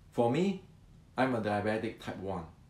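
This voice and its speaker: A man's medium-pitched voice carries audible room echo. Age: 60s. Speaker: martial arts teacher. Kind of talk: educational talk. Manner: halting, repetitive.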